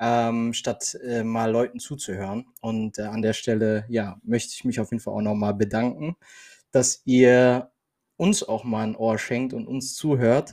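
A man talks with a dark, mellow tone. His intonation stays fairly even. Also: medium pitch for a man, fairly slow pace. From Germany. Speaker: podcast co-host. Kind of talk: casual chat. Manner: halting.

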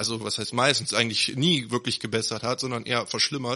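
A man at medium pitch talks in a monotone, flat intonation with a bright, sharp tone. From Neuss, Rhineland, Germany. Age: 30s. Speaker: local political candidate. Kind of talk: podcast interview.

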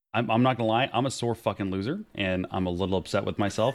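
Ordinary pitch variation from a man, delivered at a fairly quick pace. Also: very clean recording, silent background. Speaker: podcast host. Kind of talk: casual chat. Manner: animated.

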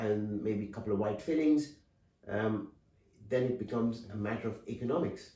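The man's voice is somewhat breathy and dark, mellow in tone, with ordinary pitch variation. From India. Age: 50s. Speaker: dental surgeon. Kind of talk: interview.

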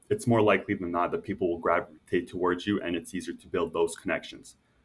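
A man's voice with a Canadian accent. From Canada, Toronto suburbs. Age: 20s. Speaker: former college basketball player, accountant. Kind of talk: interview. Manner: casual, filler-heavy.

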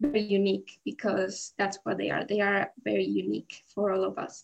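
A woman speaks in a Spanish accent. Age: 18. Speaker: student committee chair. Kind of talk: casual interview.

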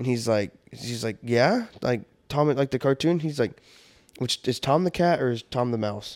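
With a normal speaking voice, a man talks at medium pitch and a moderate pace with ordinary pitch variation, in a very clean, dry, close recording with a silent background and no echo. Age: 20s. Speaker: podcast co-host. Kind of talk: casual chat. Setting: studio.

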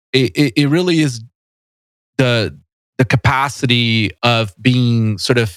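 On a very clean recording with a silent background, a man with a Portuguese accent speaks very slowly at medium pitch with ordinary variation, the sound dry and close with no echo. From Brazil, São Paulo. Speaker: tech company founder and CEO. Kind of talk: casual interview. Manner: halting, many repetitions and fillers.

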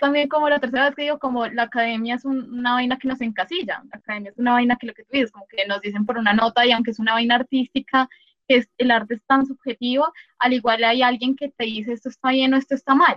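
The speaker has a Colombian accent and a very fast pace, with fairly even intonation and big swings in loudness. The sound is dry and close with no echo. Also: woman, high pitch for a woman. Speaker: podcast host, film student. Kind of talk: casual interview. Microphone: sound quality issues from technical problems.

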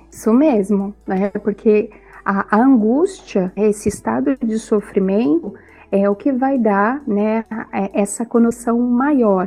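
Music plays in the background as a woman with a fairly high pitch speaks at a very slow pace with ordinary pitch variation. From southern Brazil, Itajaí, Santa Catarina. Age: 40s. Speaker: psychologist. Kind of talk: casual chat.

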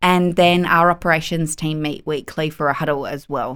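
Monotone, flat intonation from a fairly low-pitched woman in an Australian accent, on a very clean recording with a silent background. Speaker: lawyer and business owner. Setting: podcast studio.

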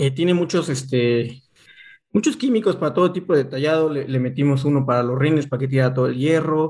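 The voice is somewhat breathy, moving at a fairly quick pace with fairly even intonation. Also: man. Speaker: motorcycle podcast co-host. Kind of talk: casual chat.

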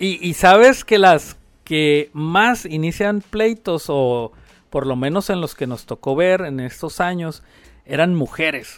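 Speaking at a very slow pace, a man with a high voice uses lively intonation on a very clean recording with a silent background. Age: 50s. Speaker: pizzeria owner. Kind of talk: casual interview.

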